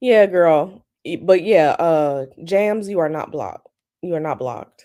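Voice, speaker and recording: A woman speaks at a fairly low pitch in a dark, mellow tone. Her pace is fairly slow, with ordinary pitch variation and big swings in loudness. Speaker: tarot reader livestream host. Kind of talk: casual chat. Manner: animated.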